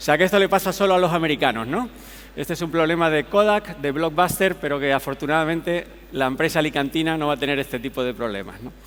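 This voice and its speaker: A man with a Canarian accent, fairly high pitch, ordinary pitch variation and a very fast pace. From Canary Islands. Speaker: tech company executive, conference speaker. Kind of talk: conference keynote. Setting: stage with audience.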